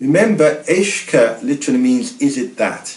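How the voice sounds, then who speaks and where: A man talks with a Guernsey accent. His pitch swings very widely. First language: Guernésiais. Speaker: language teacher. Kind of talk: language lesson narration.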